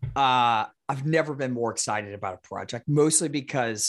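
Speaking at a moderate pace, a man with an unremarkable speaking voice keeps a medium pitch and ordinary pitch variation. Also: very clean recording, silent background. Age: 30s. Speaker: author and entrepreneur. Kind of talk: casual interview.

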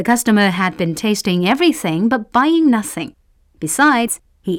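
The speaker reads aloud in a natural voice, with lively intonation.

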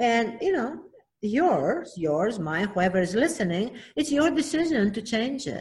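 A woman with a Greek accent speaks fairly slowly in a fairly high pitch that swings very widely. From Greece (Athens). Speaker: children's book author. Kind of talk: interview.

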